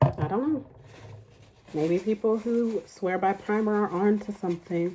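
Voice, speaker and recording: A woman at a fairly slow pace with ordinary pitch variation. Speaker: beauty vlogger. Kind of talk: casual chat.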